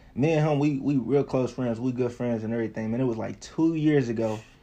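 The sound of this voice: Moving at a fairly quick pace, a man speaks at a medium pitch with a dark, mellow tone and ordinary pitch variation.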